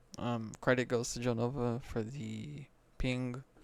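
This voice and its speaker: A man is speaking. His voice is soft-spoken. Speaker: gaming content creator. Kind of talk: casual commentary on patch notes. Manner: quiet, soft-spoken; hesitant with fillers.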